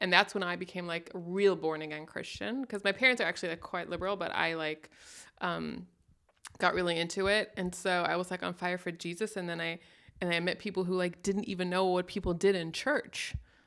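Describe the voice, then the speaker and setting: A woman with a Midwestern American accent talks at a fairly quick pace in a fairly low pitch. Her intonation is fairly even, and the recording is very clean with a silent background. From West Germany. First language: German. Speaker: comedian. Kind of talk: casual chat.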